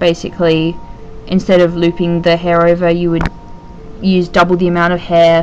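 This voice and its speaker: Against background music, a woman talks at a moderate pace. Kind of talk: tutorial voice-over. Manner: hesitant, casual.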